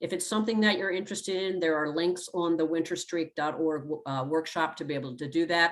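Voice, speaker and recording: A woman speaks with hardly any pauses. Her pitch is fairly low and her intonation fairly even. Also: fairly quick pace. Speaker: health educator. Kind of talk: workshop presentation. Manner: fast.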